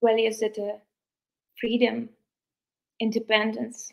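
Against a quiet background, a woman with a Ukrainian accent speaks fairly slowly in a fairly high pitch with monotone, flat intonation. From Ukraine. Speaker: beauty pageant contestant. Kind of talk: livestream interview. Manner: halting; earnest. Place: home room. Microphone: video call.

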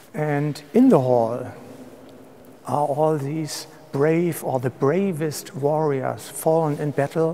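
Very slow pace from a man with ordinary pitch variation and light background noise. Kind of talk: interview answer. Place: hall. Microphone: lapel.

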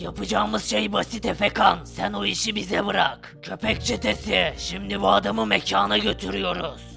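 A raspy, put-on character voice moves at a moderate pace over clear music in the background. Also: man, fairly low pitch for a man. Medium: machinima. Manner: commanding.

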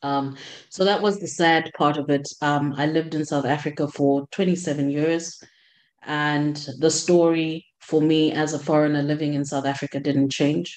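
Against a quiet background, a woman speaks at a fairly slow pace in a flat monotone with a very deep, low pitch. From Zambia. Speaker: clinical systems analyst. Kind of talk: panel discussion. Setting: video call. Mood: reflective, somewhat sad. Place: home room. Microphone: video call.

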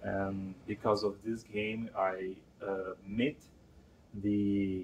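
A man with a Brazilian Portuguese accent speaks at a very slow pace and a fairly low pitch. Light background noise sits behind him. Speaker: game concept artist and creative assistant. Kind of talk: interview answer. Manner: hesitant, halting. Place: office.

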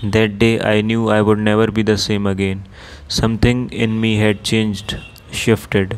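A man with an Indian accent speaks at a moderate pace, fairly low in pitch. His intonation is monotone and flat, with noticeable background noise. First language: Hindi. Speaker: audiobook narrator. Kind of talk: audiobook reading, Hindi intro then English narration.

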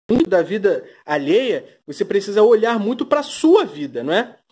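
A man speaks at a fairly slow pace, his pitch swinging very widely. The recording is very clean, with a silent background. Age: 30s. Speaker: YouTuber. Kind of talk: gossip commentary vlog. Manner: sarcastic, full of fillers.

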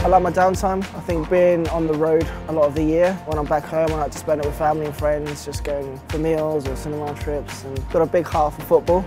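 A man talks with hardly any pauses over clear background music, the sound dry with no echo. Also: fairly quick pace. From Britain. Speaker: wheelchair tennis player. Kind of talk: interview answer. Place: hall. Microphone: lapel.

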